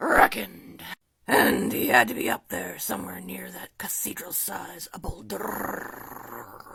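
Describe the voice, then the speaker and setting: The voice is raspy. Its pitch sits low. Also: fairly slow pace. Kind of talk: casual story reading. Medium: read story. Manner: laughing, ad-libbing.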